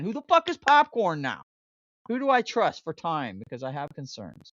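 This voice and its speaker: A woman with vocal fry speaks at a moderate pace, her pitch swinging very widely. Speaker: podcast host. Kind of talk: casual podcast talk.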